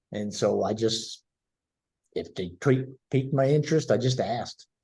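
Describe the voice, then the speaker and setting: With an American accent, a man speaks at a medium pitch and moderate pace, his somewhat breathy voice dark and mellow, with ordinary pitch variation. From US South, Tennessee. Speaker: guest. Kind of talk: casual chat.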